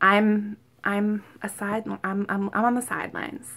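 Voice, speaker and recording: This woman's voice has a medium pitch and a bright, sharp tone. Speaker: vlogger preparing for weight loss surgery. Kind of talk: casual talk to camera. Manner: repeats herself, many fillers like um and like; occasional stuttering from excitement.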